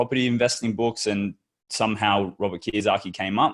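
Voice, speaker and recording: Speaking at a fairly quick pace with an Australian accent, a man keeps his fairly low voice in fairly even intonation. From Western Australia. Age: 20s. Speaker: entrepreneur. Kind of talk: interview. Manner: casual, with many repeated words.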